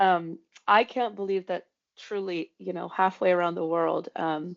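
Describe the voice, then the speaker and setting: A woman with a Romanian accent speaks fairly slowly at a fairly low pitch, against a quiet background, dry and close with no echo. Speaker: co-founder of a brand and social impact consultancy. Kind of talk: podcast interview. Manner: hesitant, many fillers.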